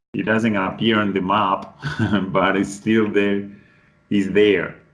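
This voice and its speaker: With audible room echo, a man speaks very slowly at a fairly low pitch in a flat, monotone way. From Colombian Pacific coast, Cauca. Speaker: English tutor. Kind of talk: online class introduction. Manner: halting, with restarts.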